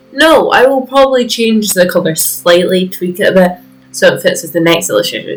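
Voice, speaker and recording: Music plays in the background. The speech has lively intonation and a moderate pace. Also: woman. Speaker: art hobbyist video creator. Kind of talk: casual voiceover over art process video. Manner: voice drops lower as video goes on; rambling, hesitant with fillers.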